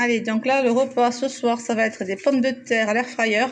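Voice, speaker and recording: This woman speaks with a high pitch at a moderate pace. Her intonation is monotone and flat. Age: 40s. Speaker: vlogger. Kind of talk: casual vlog narration. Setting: outdoors.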